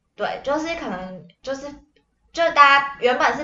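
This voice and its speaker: A woman's voice with audible room echo. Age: 20s. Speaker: podcast co-host, family caregiver. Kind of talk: casual chat.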